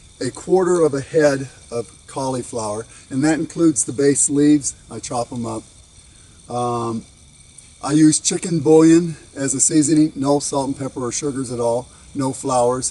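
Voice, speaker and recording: A man talks at a moderate pace in a plain, everyday voice. His pitch sits fairly high and varies in an ordinary way. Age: 60s. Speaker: vlogger doing outdoor yard work. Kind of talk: casual cooking tutorial. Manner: casual with frequent fillers.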